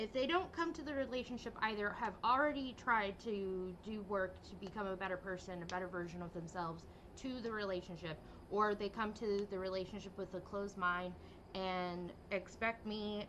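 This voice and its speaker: A woman's medium-pitched voice with ordinary pitch variation, a moderate pace, and noticeable background noise. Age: 30s. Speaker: vtuber game streamer. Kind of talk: casual livestream chat. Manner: hesitant, many fillers.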